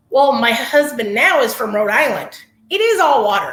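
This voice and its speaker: Audible room echo surrounds a woman with an American accent speaking at a moderate pace. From Northern California. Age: 40s. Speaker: massage therapist. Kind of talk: testimony interview.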